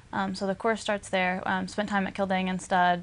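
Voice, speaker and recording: A woman with an American accent, medium pitch and a fairly quick pace, over a quiet background. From US South, Arkansas. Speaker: equine industry trainee. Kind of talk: interview.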